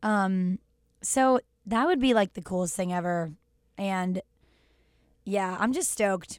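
With an American accent, this voice shows ordinary pitch variation, takes long, frequent pauses, and sounds dry and close with no echo. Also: woman, medium pitch for a woman, fairly slow pace. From Texas. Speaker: singer-songwriter. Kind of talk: casual chat.

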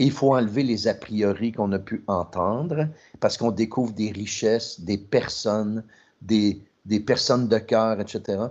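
A man in a Quebec accent at a fairly slow pace, against a quiet background. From Trois-Rivières, Quebec. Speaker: podcast co-host, marketing executive. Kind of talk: podcast interview.

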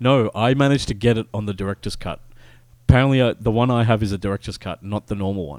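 Recorded very clean against a silent background with a dry, close sound and no echo, a man with an Australian accent speaks at a very fast pace, his fairly low pitch showing ordinary variation and big swings in loudness. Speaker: video game podcast host. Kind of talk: casual chat.

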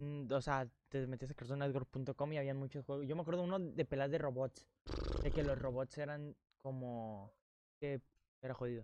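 Speech with a Mexican accent comes at a moderate pace in a dark, mellow tone with fairly even intonation, in a dry, close sound with no echo. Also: man, fairly high pitch for a man. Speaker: podcast co-host. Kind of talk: casual chat. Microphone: new sponsored microphone.

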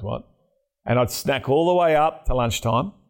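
A man speaks with an Australian accent at a moderate pace, his pitch varying in an ordinary way. The recording is very clean, with a silent background. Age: 40s. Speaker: podcast host. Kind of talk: interview.

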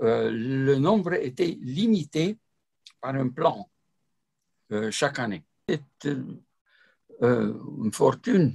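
With a Romanian accent, a man of medium pitch speaks very slowly and somewhat breathily, with lively intonation and long, frequent pauses. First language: Romanian (speaking French). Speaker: ufologist and retired mathematician. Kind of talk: interview. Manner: halting.

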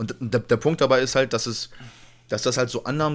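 A man talks at a fairly quick pace in a medium pitch, with an unremarkable speaking voice. His intonation stays fairly even. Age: 20s. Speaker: podcast co-host. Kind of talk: casual chat. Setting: home recording at PC.

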